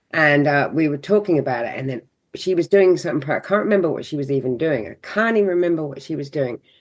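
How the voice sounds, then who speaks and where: A woman with a southern English accent, a very deep, low pitch and lively intonation. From southern England (Seaford, south coast; born London). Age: 60s. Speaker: holistic counsellor. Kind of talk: podcast interview, personal story. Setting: podcast conversation. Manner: animated.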